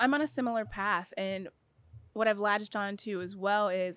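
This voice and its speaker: A woman's unremarkable speaking voice, medium in pitch, with ordinary pitch variation. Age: 30s. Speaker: professional basketball player. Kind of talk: casual chat.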